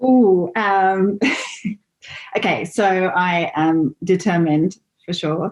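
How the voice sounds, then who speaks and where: This is a woman with an English accent. Her pitch varies in an ordinary way. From England. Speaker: interview guest. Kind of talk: interview. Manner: halting.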